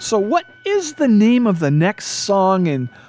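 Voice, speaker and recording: With noticeable background noise behind her, a woman speaks in an animated tone with very wide pitch swings. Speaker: radio talk show host. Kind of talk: comedic radio talk show banter. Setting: studio. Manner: jokey, rambling, animated.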